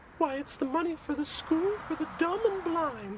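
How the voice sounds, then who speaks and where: Using a put-on character voice, a woman speaks at an extremely high pitch and a moderate pace with lively intonation. Background noise is clearly audible. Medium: audio drama. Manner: prim, sweetly scolding.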